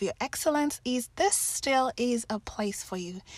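With a Kenyan accent, a woman speaks at a high pitch and a moderate pace with lively intonation, in a dry, close sound with no echo. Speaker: podcast host, life coach. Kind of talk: interview podcast.

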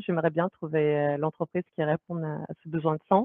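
Her pitch fairly low, a woman talks in a normal speaking voice. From France. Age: 30s. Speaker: product manager. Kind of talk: interview.

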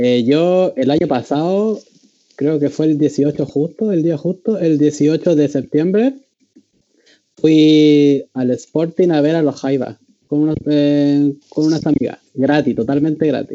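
Very slow delivery in a Chilean accent, with ordinary pitch variation. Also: man, fairly high pitch for a man. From Chile, Valparaíso. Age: 20s. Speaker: student guest. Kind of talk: casual chat.

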